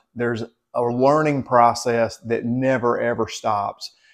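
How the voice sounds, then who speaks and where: A man with a Southern US accent at a fairly slow pace against a quiet background. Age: 50s. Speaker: health vlogger. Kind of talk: casual talk to camera. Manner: halting, many fillers and repeats.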